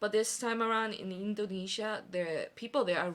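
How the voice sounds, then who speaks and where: The woman's pitch varies in an ordinary way as she keeps a moderate tempo. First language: not Korean (trilingual). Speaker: podcast guest. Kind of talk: casual chat.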